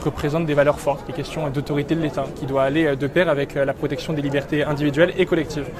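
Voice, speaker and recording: A man talks at a very fast pace in a fairly high pitch. Crowd noise fills the background. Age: 20s. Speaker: youth political movement leader. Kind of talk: interview.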